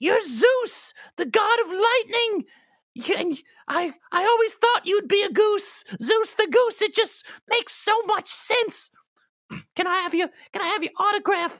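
An extremely high put-on character voice at a fairly slow pace, broken by long, frequent pauses. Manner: eager, rambling, starstruck.

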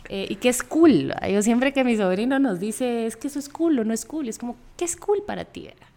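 A high-pitched woman at a fairly quick pace, with lively intonation, big swings in loudness, hardly any pauses and noticeable background noise. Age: 30s. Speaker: podcast co-host, architect. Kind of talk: casual chat.

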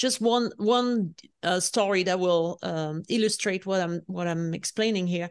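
The background is quiet. A woman speaks at a medium pitch in a French accent. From France. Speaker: leadership coach and author. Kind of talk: interview. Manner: animated.

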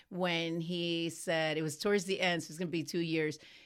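With an American accent, a woman talks at a moderate pace in a fairly low pitch, a normal speaking voice. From US Midwest, Cleveland, Ohio. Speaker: business owner and author. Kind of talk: interview.

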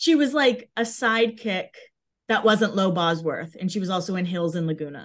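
Over a quiet background, a woman with an American accent speaks in a normal speaking voice at a medium pitch and moderate pace, her intonation lively. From Massachusetts, US. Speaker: Instagram fan page creator. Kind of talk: casual interview.

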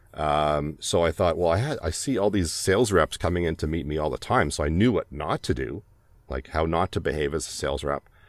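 With a Canadian accent, a man speaks at a fairly quick pace in a very deep, low voice with vocal fry and ordinary pitch variation. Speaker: voiceover artist. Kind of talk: casual chat. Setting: video call.

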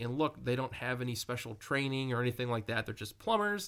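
The voice has a bright, sharp tone and ordinary pitch variation in a very clean recording with a silent background. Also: man. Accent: American. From rural Wisconsin. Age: 30s. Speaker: paranormal investigator, group founder. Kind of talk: interview.

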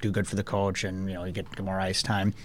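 Speaking at a fairly quick pace, a man talks in a Minnesota accent. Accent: Upper Midwest, Minnesota. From Minnesota, International Falls. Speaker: pro hockey player. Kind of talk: casual radio interview. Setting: radio studio.

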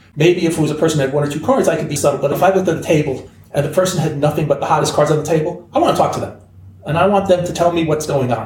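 A man at a fairly high pitch and a very fast pace, amid audible room echo and noticeable background noise. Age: 60s. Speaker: sports card hobby veteran. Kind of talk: casual chat.

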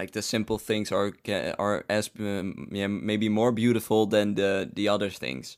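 A man's fairly low voice moves at a fairly slow pace, its intonation fairly even. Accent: Dutch. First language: Dutch. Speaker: podcast host. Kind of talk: interview.

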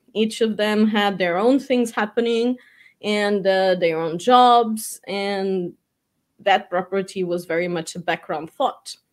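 Spoken very slowly in a Portuguese accent, the voice shows ordinary pitch variation. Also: woman. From Portugal. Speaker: real estate agency owner. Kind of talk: interview.

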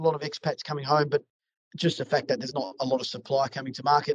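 A man's somewhat breathy, fairly high voice with an Australian accent, in a dry, close sound with no echo. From South Australia, Adelaide. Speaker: commercial property sales agent. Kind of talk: podcast interview.

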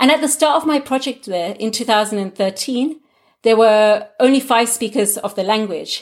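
On a very clean recording against a silent background, a woman talks with a British accent. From England. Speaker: linguist. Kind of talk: interview.

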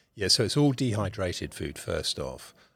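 A man speaks at a moderate pace in a bright, sharp tone. The recording is very clean, with a silent background. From United Kingdom. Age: 50s. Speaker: ocean rower and adventurer. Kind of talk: podcast interview. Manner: halting, many fillers and repetitions.

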